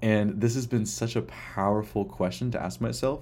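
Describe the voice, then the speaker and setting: Man's dark, mellow voice with audible room echo. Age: 20s. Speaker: podcast host. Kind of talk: personal reflective monologue.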